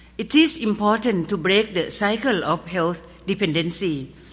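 In a Thai accent, a woman talks with lively intonation. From Thailand. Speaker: pharmacist. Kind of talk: award acceptance speech. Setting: stage with audience. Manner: formal. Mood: earnest, solemn. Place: stage. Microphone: podium.

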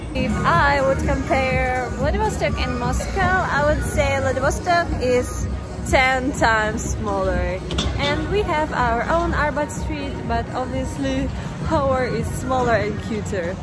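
A woman at a very slow pace, dry sound with no echo, loud music in the background. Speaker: travel vlogger. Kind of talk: casual vlog chat. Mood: cheerful, enthusiastic. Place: street. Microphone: phone near.

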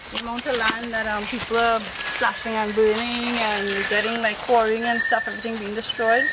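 A woman speaks with hardly any pauses, her sound dry with no echo. Loud background noise runs underneath. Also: moderate pace. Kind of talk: interview answer. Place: forest. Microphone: camera far.

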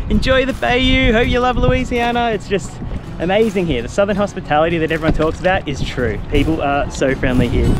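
A man speaks in a high-pitched voice. Clear music plays in the background. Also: dry sound with no echo. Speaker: travel vlogger. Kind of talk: casual vlog chat. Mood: cheerful, enthusiastic. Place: waterside. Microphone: phone near.

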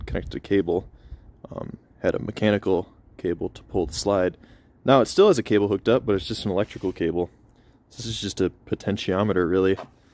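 A man with an ordinary speaking voice, fairly low pitch, ordinary pitch variation and a fairly quick pace, in a dry sound with no echo. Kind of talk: tutorial. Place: street.

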